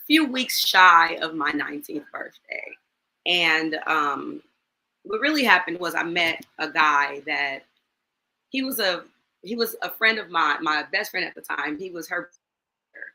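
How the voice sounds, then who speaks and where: A woman with an American accent speaks at a fairly slow pace with long, frequent pauses, her fairly low voice bright and sharp in tone, with lively intonation and big swings in loudness. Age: 40s. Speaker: high school teacher sharing domestic violence story. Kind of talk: testimony in interview. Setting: live online show.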